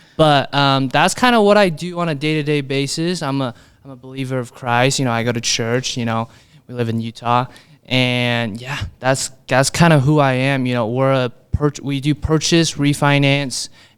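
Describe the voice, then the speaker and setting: Here a man speaks at medium pitch with a Chinese accent and ordinary pitch variation. He keeps a moderate pace on a very clean recording with a silent background. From Brooklyn, New York, Chinese immigrant family. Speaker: mortgage broker. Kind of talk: podcast interview. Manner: casual, many fillers like you know.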